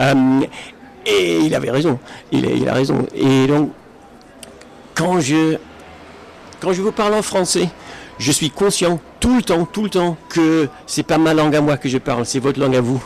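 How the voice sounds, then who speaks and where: Against noticeable background noise, a man talks at a fairly slow pace with lively intonation, very even loudness, and long, frequent pauses. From Britain. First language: English (speaking French). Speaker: Esperanto speaker. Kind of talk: public talk. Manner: halting, many fillers and restarts.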